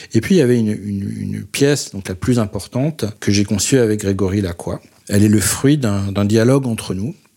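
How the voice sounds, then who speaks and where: Ordinary pitch variation in a man's fairly low voice, at a moderate pace. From Paris, France. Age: 40s. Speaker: photographer. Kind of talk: interview monologue. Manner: halting, many hesitations.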